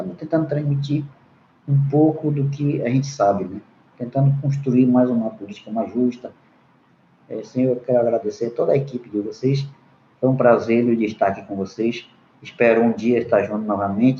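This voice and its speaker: His tone is dark and mellow, and somewhat breathy. The man's pitch varies in an ordinary way. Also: medium pitch for a man, moderate pace. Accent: non-native. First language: Munduruku (speaking Portuguese). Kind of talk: panel debate remarks. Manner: halting, with hesitations.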